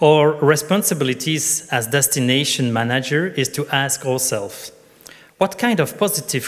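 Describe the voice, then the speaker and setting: In a non-native accent, a man speaks with lively intonation, a fairly high pitch and a fairly slow pace. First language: not English. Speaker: tourism conference speaker. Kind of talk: conference presentation. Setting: conference stage with audience. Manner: partly reading from notes.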